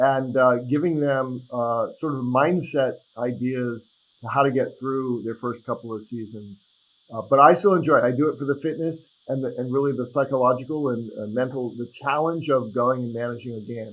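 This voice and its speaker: A man with an American accent talks at a moderate pace in an ordinary speaking voice. His pitch is medium and his intonation fairly even. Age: 60s. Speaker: attorney and soccer referee. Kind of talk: podcast interview. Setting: video call.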